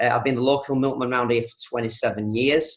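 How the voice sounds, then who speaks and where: This is a man speaking. He has a Yorkshire accent. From East Yorkshire, England. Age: 40s. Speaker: milkman and network marketer. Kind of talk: training talk with life story.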